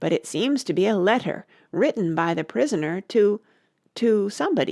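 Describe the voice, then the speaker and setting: In a put-on character voice, a female-sounding speaker uses a raspy, medium-pitched delivery at a moderate pace on a very clean recording with a silent background. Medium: read story. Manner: hurried, deferential.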